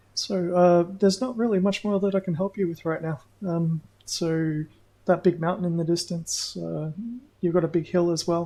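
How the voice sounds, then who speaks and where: Someone with an Australian accent talks at a moderate pace. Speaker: gaming streamer. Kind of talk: casual live gameplay commentary. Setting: livestream.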